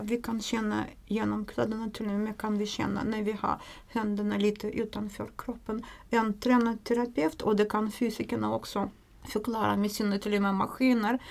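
Fairly high female voice in a Russian accent with monotone, flat intonation. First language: Russian (speaking Swedish). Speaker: craniosacral therapist and nurse. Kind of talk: interview explanation. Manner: hesitant with fillers.

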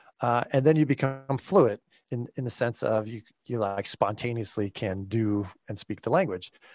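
This man has an American accent and a medium pitch with ordinary variation. He talks at a moderate pace, and the sound is dry and close with no echo. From California. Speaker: pastor and theology professor. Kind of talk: casual interview conversation. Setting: home basement studio. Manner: halting, many fillers.

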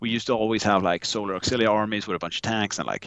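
Speaking at a very fast pace, a man with a Swedish accent uses a fairly low pitch. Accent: Swedish, merges V and W. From Sweden. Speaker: podcaster guest, charity raffle organizer. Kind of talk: casual chat.

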